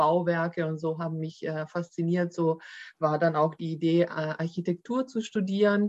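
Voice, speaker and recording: In an unremarkable speaking voice, a woman talks at a moderate pace with fairly low pitch and fairly even intonation. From Germany, Baden-Württemberg (Swabia). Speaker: employment lawyer. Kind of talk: podcast interview.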